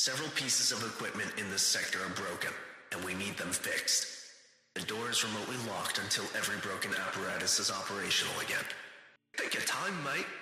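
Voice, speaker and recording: Doing a put-on character voice at medium pitch, a man rattles along at a very fast pace with strong echo. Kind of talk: PA announcement. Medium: solo performance. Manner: formal, clipped.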